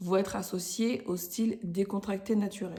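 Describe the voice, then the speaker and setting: A woman's medium-pitched voice with a dark, mellow tone and fairly even intonation. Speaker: podcast host, style coach for women entrepreneurs. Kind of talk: casual tutorial podcast. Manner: casual, hesitant with fillers.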